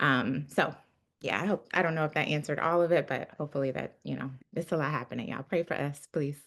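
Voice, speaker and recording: Speaking at a very fast pace, a woman uses a very deep, low pitch with ordinary pitch variation. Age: 30s. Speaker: city council member. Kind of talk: panel discussion. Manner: casual, many fillers.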